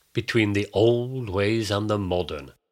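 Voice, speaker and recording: The recording is very clean and the background silent. His voice, a man's, sits fairly low. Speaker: podcast host and narrator. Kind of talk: scripted narration with folk tale reading. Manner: theatrical, playing character voices in the folk tale; measured storytelling, formal.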